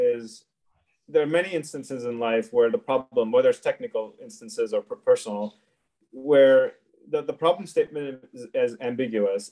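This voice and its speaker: The voice has a dark, mellow tone and lively intonation at a moderate pace, with a dry, close sound and no echo. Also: man. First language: not English. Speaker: engineering director. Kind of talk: interview answer.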